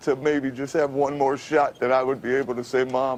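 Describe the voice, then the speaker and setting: A man at a moderate pace in a monotone, flat intonation, with noticeable background noise. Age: 50s. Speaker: radio announcer. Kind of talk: TV interview answer. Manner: halting, repetitive.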